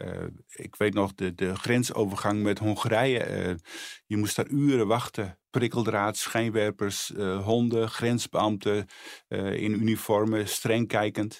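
At a very slow pace, a man speaks in a fairly low, monotone, flat voice, captured in a very clean recording with a silent background. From Netherlands, Friesland. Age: 60s. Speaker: charity spokesperson. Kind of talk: testimony. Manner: halting.

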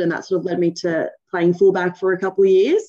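Speaking at a fairly quick pace is a woman. Her pitch is medium. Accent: Australian. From Australia, Sydney (Cronulla). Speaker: rugby league player and team captain. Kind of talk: interview. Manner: halting, many fillers.

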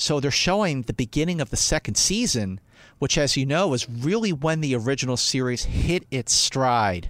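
In a Philadelphia accent, a man talks at a moderate pace with a fairly high pitch. His pitch swings very widely while his loudness stays very even. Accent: Philadelphia American. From US, Northeast Philadelphia. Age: 40s. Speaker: film critic and fan convention figure. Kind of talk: casual chat.

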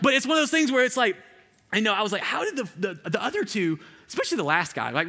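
Talking at a very fast pace, a man with an Alabama accent uses very wide pitch swings and a bright, sharp tone. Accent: US Southern (Alabama). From rural Alabama. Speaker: youth pastor. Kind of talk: sermon. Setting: stage with audience. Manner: casual, conversational with many fillers.

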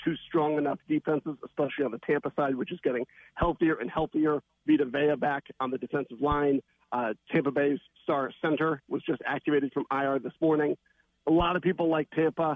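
An unremarkable speaking voice moves at a fairly quick pace. The intonation stays fairly even. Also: man, fairly high pitch for a man. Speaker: sports betting analyst. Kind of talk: sports radio interview.

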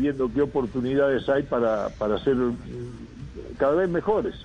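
This man speaks with a fairly high pitch and lively intonation. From Uruguay. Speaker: football coach. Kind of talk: radio interview. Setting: phone call. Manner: halting.

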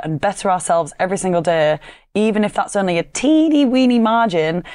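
With a Yorkshire accent, a woman speaks at a moderate pace against a quiet background. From Yorkshire, northern England. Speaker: fitness coach and podcast host. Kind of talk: solo podcast monologue.

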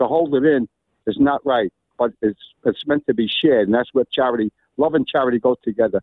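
A man in a New York accent speaks at a fairly quick pace and medium pitch. His loudness is very even, and his pitch varies in an ordinary way. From Brooklyn, New York. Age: 70s. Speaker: caller, priest. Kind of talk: testimony. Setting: phone call. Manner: animated.

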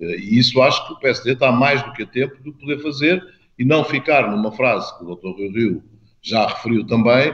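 Here a man uses a normal speaking voice, at a moderate pace with ordinary pitch variation. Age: 50s. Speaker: mayor and party politician. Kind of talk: interview.

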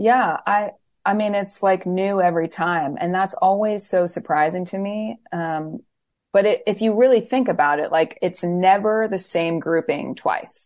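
A woman with an American accent and a normal speaking voice talks at medium pitch with ordinary pitch variation. Her pace is fairly slow, and the background is quiet. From Florida. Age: 30s. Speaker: worship leader and singer-songwriter. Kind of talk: interview.

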